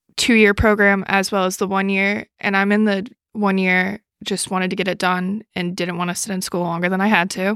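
A woman with an American accent speaks at a medium pitch and a moderate pace in a plain, everyday voice. The recording is very clean with a silent background and a dry, close sound with no echo. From New York City. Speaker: grad student and bartender. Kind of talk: casual chat.

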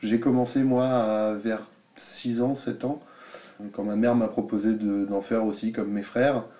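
Speaking at a fairly slow pace, a man uses a medium pitch, fairly even intonation and a dark, mellow tone. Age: 20s. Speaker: DJ and music teacher. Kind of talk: casual interview. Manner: hesitant, many fillers.

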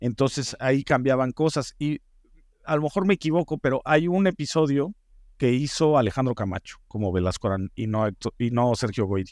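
In a Mexican accent, a man speaks at a moderate pace and medium pitch with lively intonation, the sound dry and close with no echo on a very clean recording with a silent background. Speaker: TV producer and head writer. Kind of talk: interview. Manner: halting with frequent fillers.

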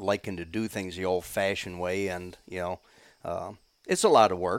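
Against a silent background in a very clean recording, a man with a very deep, low pitch talks at a moderate pace in a flat monotone. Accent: American. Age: 60s. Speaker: hunter, deer camp host. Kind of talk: casual chat.

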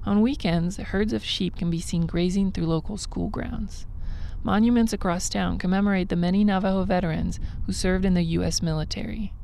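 Noticeable background noise runs under a woman who talks at a fairly quick pace. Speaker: radio reporter. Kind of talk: news report.

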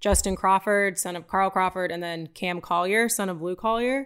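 A woman with a plain, everyday voice talks at a moderate pace with ordinary pitch variation in a very clean recording with a silent background. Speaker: podcast co-host reading listener questions. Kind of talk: casual chat.

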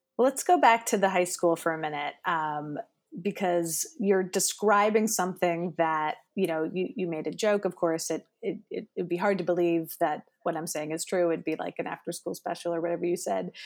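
A woman with an unremarkable speaking voice talks at a moderate pace, fairly low in pitch, with ordinary pitch variation and hardly any pauses. The recording is very clean, with a silent background. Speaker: podcast interviewer. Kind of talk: casual interview chat.

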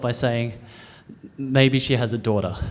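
A man with an Australian accent, noticeable background noise and audible room echo. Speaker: storyteller. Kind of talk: live storytelling. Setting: stage with audience.

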